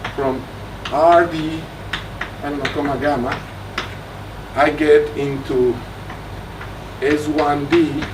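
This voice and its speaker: Against noticeable background noise and audible room echo, a man speaks with a fairly high pitch and fairly even intonation. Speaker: mathematician giving a research talk. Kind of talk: lecture.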